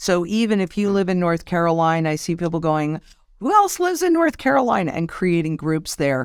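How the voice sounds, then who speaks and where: An unremarkable speaking voice talks at a moderate pace. The recording is very clean, with a silent background. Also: woman. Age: 60s. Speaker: financial market analyst. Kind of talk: interview.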